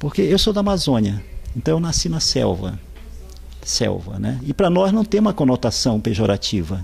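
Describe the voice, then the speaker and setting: This man speaks at a fairly slow pace. Noticeable background noise runs under his voice. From Brazilian Amazon, Pará. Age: 60s. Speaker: writer. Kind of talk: interview. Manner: hesitant, with repeated fillers.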